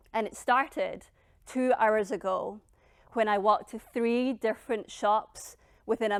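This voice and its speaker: A woman in a normal speaking voice talks at a fairly slow pace and a fairly high pitch. Her intonation is fairly even, and the recording is very clean with a silent background. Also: big swings in loudness. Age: 20s. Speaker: public speaking coach and author, founder of a personal-growth brand. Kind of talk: personal story told on stage, TED-style talk. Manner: reflective, confessional storytelling.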